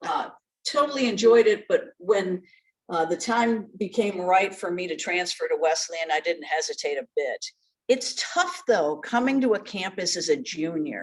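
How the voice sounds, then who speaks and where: A woman with an American accent has an unremarkable speaking voice, medium in pitch, with lively intonation at a moderate pace. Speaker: journalist and former news anchor. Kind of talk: interview. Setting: video call.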